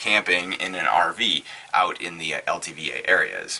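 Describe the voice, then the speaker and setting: Noticeable background noise is audible throughout. A man does the talking. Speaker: full-time RVer. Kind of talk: casual talk to camera.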